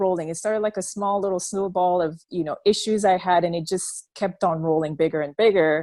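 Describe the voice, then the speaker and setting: With a French accent, a woman speaks at a medium pitch in a dry, close sound with no echo, the recording very clean over a silent background. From Belgium. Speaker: former church member sharing her story. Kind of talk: interview testimony.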